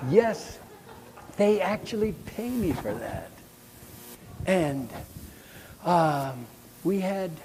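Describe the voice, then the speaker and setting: A high-pitched man speaks at a very slow pace, his intonation lively. He leaves long, frequent pauses, and audible echo fills the room. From US Midwest, rural Nebraska. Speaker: choral conductor and music educator. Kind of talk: conference lecture. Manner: animated.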